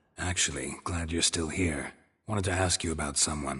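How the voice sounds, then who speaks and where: A man uses a put-on character voice pitched very deep and low. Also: moderate pace. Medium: video game. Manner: terse, deadpan.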